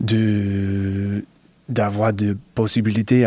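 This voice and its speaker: Flat and monotone, a man talks at a fairly low pitch. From US Northeast, Connecticut. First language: English (speaking French). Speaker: professional basketball player. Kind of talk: interview. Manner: halting, many repetitions and hesitations.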